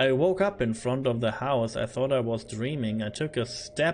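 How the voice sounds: This is a natural reading voice. Pitch varies in an ordinary way.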